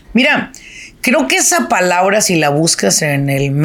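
A woman at a fairly low pitch, animated in tone, with very wide pitch swings at a fairly slow pace. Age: 50s. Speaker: business coach. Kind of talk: solo podcast monologue.

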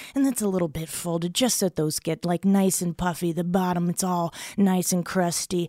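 A woman with an American accent speaks in a plain, everyday voice, fairly low in pitch, with fairly even intonation at a moderate pace. The recording is very clean and dry, close with no echo and a silent background. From South Florida. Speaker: comedian. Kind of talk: comedic food debate.

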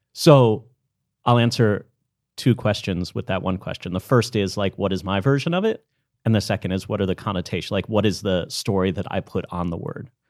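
In a very clean recording with a silent background, a man with a plain, everyday voice speaks at a fairly quick pace, with a fairly low pitch and ordinary pitch variation. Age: 40s. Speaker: storytelling coach and workshop leader. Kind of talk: interview.

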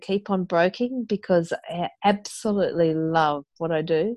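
A woman with an Australian accent, fairly low in pitch with ordinary pitch variation, at a fairly slow pace, in a dry, close sound with no echo. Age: 50s. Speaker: mother and business owner. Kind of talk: interview conversation.

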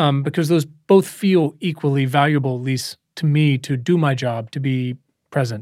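A man speaks at a moderate pace in an unremarkable speaking voice, pitched fairly high with ordinary variation. The recording is very clean, with a silent background. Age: 30s. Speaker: podcast host. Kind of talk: interview. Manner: casual, profane.

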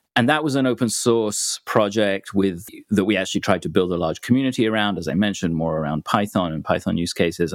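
A man with a British accent talks at a fairly quick pace with ordinary pitch variation, in a very clean recording with a silent background. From UK. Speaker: software developer. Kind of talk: podcast interview.

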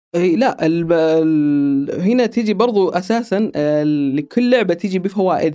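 In a very clean recording with a silent background, a man talks at a fairly quick pace with a fairly high pitch, a dark, mellow tone and lively intonation.

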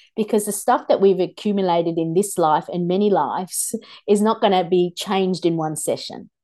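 Against a quiet background, a woman at medium pitch speaks at a moderate pace with a dark, mellow tone and ordinary pitch variation. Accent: Australian. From Australia (migrated from India at six). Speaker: shaman and spiritual teacher. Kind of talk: casual interview chat.

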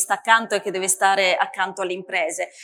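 A woman's bright, sharp tone carries fairly even intonation. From northeast Italy. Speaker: politician. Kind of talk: panel discussion.

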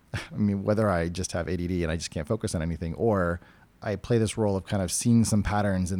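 Very fast and fairly even in intonation, a man with an American accent speaks in a very deep, low pitch and a dark, mellow tone. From New Hampshire, New England. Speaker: tech product lead. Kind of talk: interview.

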